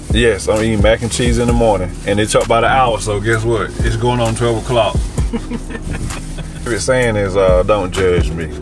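With clear music in the background, a man talks at a moderate pace, taking long, frequent pauses. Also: dry sound with no echo. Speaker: food reviewer. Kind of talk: casual vlog chat. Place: car. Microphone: phone near.

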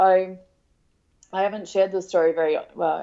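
A woman speaks with an Australian accent. Her pitch sits in the medium range. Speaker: parenting blogger and author. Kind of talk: casual chat.

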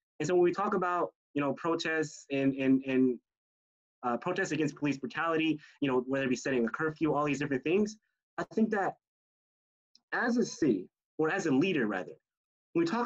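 An American-accented man at a fairly high pitch for a man, fairly quick and lively in intonation, over a quiet background. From US South. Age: young. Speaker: youth debate student. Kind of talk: panel discussion. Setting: video call. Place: home room. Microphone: video call.

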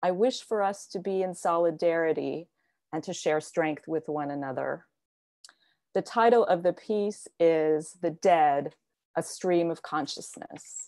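Against a quiet background, a woman with an American accent talks at a fairly slow pace, her fairly low voice dark and mellow in tone, with ordinary pitch variation. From US (Virginia, near Washington DC). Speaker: poet. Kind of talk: spoken word poetry reading. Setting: video call. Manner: earnest, solemn. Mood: earnest, reflective. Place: home room. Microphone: earbuds.

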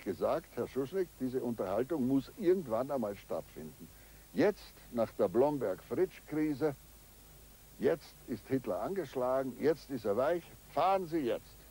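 Speaking at a very slow pace, a man has a dark, mellow tone at medium pitch, with vocal fry and very wide pitch swings. The sound is dry, with no echo. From Austria. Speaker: eyewitness diplomat. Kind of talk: interview recollection. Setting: outdoors at ruins. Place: forest.

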